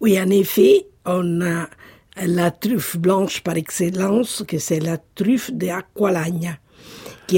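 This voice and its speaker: A woman talks at a medium pitch with a dark, mellow tone and a somewhat breathy quality. Her pace is very slow, and her pitch varies in an ordinary way. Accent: Italian. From Italy, Marche (Sassoferrato). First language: Italian (speaking French). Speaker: Italian cooking enthusiast. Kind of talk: casual interview.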